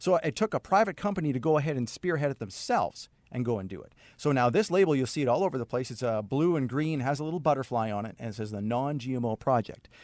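A man with a medium-pitched voice talks at a very fast pace and with lively intonation. The recording is very clean, with a silent background. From Canada, Saskatchewan. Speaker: naturopath. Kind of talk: radio interview. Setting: studio.

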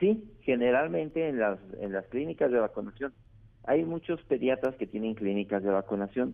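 Here a man in a normal speaking voice talks at a moderate pace and medium pitch, his intonation lively. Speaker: infectious disease doctor. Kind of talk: phone interview.

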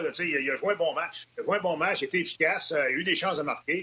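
The man's voice is high in pitch with ordinary variation. He talks very fast. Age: 50s. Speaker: hockey analyst, former player. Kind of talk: panel discussion on hockey.

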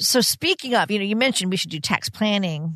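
Over a quiet background, a woman with an unremarkable speaking voice talks at a fairly quick pace with ordinary pitch variation. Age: 60s. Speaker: radio co-host. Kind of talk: radio host patter, upbeat intros and interview questions. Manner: bright, friendly, engaged, laughs easily.

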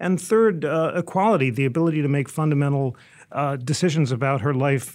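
An American accent marks this man's unremarkable speaking voice, which moves at a fairly quick pace with ordinary pitch variation, on a very clean recording with a silent background. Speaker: radio host. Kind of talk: moderated interview. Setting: studio.

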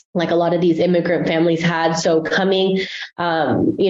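Speaking at a moderate pace, a woman keeps a monotone, flat intonation at a fairly low pitch. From Guatemala, raised in San Francisco Bay Area from age six. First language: Spanish. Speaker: family therapist trainee. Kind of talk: interview. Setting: studio.

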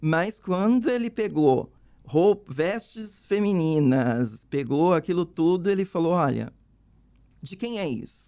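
A woman speaks at a very slow pace with a dark, mellow tone. Her fairly low pitch makes very wide swings. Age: 50s. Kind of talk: interview, personal testimony.

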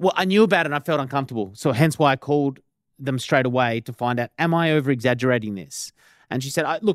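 Speaking very fast with lively intonation, a fairly high-pitched man with an Australian accent is heard in a very clean recording with a silent background and a dry, close sound with no echo. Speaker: podcast co-host. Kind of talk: casual podcast conversation. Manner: conversational, explanatory.

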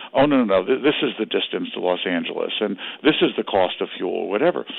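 This man talks at a fairly quick pace with medium pitch. He has an unremarkable speaking voice. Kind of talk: radio interview.

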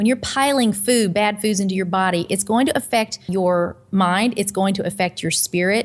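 A woman with an American accent has a normal speaking voice, medium in pitch, speaking at a moderate pace with ordinary pitch variation. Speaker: pastor and nutritional counselor. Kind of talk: interview. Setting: video call.

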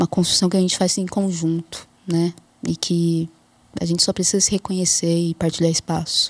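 A woman talks at a moderate pace with a fairly low pitch and a flat, monotone delivery. The recording is very clean and dry, close-miked with no echo and a silent background. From interior of São Paulo state, Brazil. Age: 30s. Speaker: anthropologist. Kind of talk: interview.

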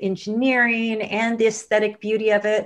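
An ordinary speaking voice at a moderate pace against a quiet background. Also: woman. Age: 40s. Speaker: money coach and investor. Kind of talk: podcast interview.

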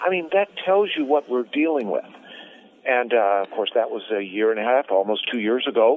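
Over noticeable background noise, a man speaks at a moderate pace and medium pitch with very wide pitch swings. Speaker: columnist. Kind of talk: interview. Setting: video call.

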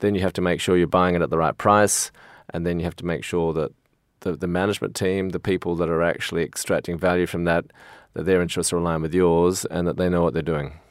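Words come out at a very fast pace. The man's voice sits very deep and low. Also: very clean recording, silent background. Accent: Australian. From Australia. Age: 50s. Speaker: financier. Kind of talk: interview.

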